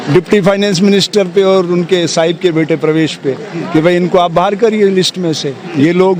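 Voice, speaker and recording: A man with a high-pitched voice speaks at a moderate pace over noticeable background noise. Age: 60s. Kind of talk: interview. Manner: animated.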